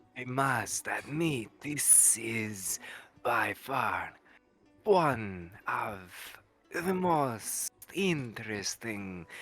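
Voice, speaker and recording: A man's put-on character voice at medium pitch, very slow in pace, with faint music in the background. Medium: actual play. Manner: formal, measured.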